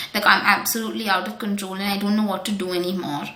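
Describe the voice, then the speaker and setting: Audible room echo and noticeable background noise accompany this woman's speech. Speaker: wellness coach. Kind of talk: tutorial. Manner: calm; hesitant.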